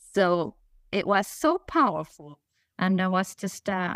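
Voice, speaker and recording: In a Spanish accent, a woman with a fairly low pitch speaks in a dry, close sound with no echo over a very clean recording with a silent background. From Spain. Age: 50s. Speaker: author and nonprofit leader. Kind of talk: interview. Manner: halting.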